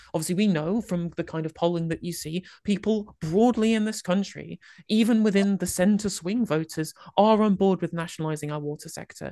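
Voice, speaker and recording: Against a quiet background, a woman talks at a fairly quick pace in a dark, mellow tone with ordinary pitch variation. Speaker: political livestreamer. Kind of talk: panel debate. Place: home room. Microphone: studio mic.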